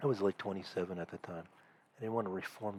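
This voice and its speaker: A soft-spoken man with a very deep, low pitch. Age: 40s. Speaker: comedian. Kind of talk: casual monologue. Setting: at home. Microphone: cheap headset.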